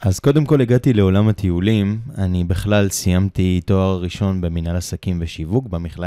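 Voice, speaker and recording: In an unremarkable speaking voice, a man with a fairly low pitch talks at a fairly slow pace, the sound dry and close with no echo. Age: 30s. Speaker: travel company owner. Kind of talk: casual chat. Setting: studio, Ramat Gan.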